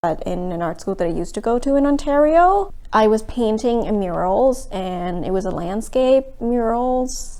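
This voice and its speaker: A woman's fairly high voice with very wide pitch swings, plus audible room echo. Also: moderate pace, hardly any pauses. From Thailand. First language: Thai. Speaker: art student. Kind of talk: documentary interview.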